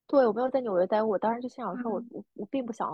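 A somewhat breathy woman's voice. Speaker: podcast co-host, freelancer. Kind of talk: casual chat.

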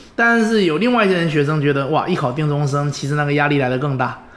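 A man at a fairly quick pace with ordinary pitch variation and audible room echo. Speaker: former scholarship student, recent engineering graduate. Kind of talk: interview conversation. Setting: at home.

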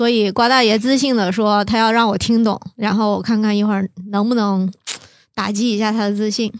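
A woman with a fairly high pitch speaks in a monotone, flat intonation at very even loudness. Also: fairly quick pace. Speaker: podcast co-host. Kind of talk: casual chat.

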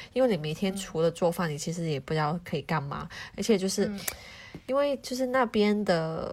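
This woman has an unremarkable speaking voice at medium pitch. Her intonation is lively and her pace moderate. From Hong Kong. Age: young. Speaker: home cook, office worker. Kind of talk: casual chat.

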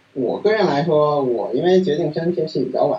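A man's voice with noticeable background noise. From Beijing, China. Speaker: PhD student in machine learning. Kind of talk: interview. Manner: halting with many fillers.

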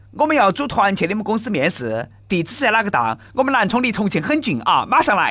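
Pitched high for a man and raised and projected, a man's voice in a Sichuanese accent moves at a fairly quick pace with hardly any pauses and very wide pitch swings, over noticeable background noise. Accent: Nanchong Sichuanese dialect. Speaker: radio host. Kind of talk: comedic news talk show. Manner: animated.

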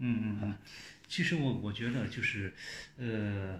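In a room with audible echo, a man speaks at a fairly slow pace in a somewhat breathy voice. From China. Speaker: television journalist. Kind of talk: casual chat.

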